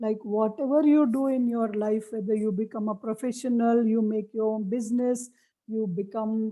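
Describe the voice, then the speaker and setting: With an Indian accent, a woman speaks in a fairly high pitch and a dark, mellow tone. Her intonation is fairly even, and the recording is very clean with a silent background. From India (Marathi-speaking). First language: Marathi. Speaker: memory techniques trainer. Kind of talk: lecture.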